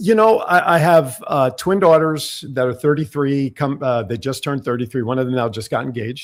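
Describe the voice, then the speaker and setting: With an American accent, a man talks at a moderate pace and a fairly high pitch, his intonation lively and his speech nearly free of pauses. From New Jersey. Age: 60s. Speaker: radio host. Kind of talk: casual interview chat. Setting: studio. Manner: animated.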